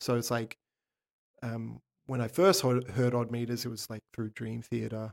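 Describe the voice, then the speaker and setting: A man with an Australian accent speaks at medium pitch and a moderate pace. His pitch varies in an ordinary way, and he takes long, frequent pauses. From Sydney, Australia. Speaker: touring session drummer. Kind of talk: casual interview chat. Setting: in-person in a drum shop.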